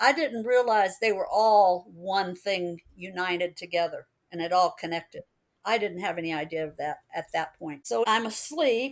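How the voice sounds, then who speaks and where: An unremarkable speaking voice from a woman, medium in pitch, with lively intonation at a moderate pace, on a very clean recording with a silent background. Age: 60s. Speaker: alien contact experiencer. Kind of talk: interview testimony.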